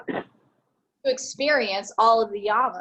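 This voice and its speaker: A plain, everyday voice from a woman, pitched fairly high. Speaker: yoga teacher. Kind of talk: yoga class instruction.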